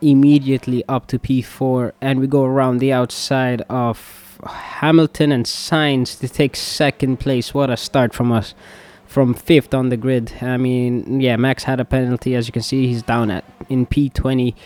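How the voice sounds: A man talks at a fairly slow pace in a slightly mellow tone, his pitch moving very little.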